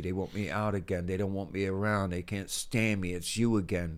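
A man with an American accent speaks in a plain, everyday voice at a fairly low pitch and a moderate pace. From US, Philadelphia. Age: 60s. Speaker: death row exoneree. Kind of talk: testimony.

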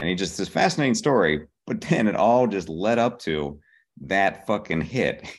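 A man with an American accent speaks at a moderate pace in a fairly low voice, his pitch swinging very widely against a quiet background. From Pittsburgh, Pennsylvania. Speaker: TV comedy writer. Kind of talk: casual interview.

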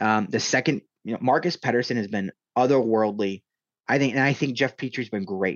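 This man talks at a fairly quick pace. His pitch is medium, with ordinary pitch variation. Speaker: hockey journalist. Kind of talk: interview conversation. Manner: casual, hesitant with fillers.

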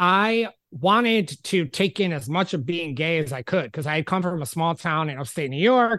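A man's fairly high pitch and lively intonation at a fairly quick pace, over a quiet background. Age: 40s. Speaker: podcast host. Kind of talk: casual chat. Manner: animated.

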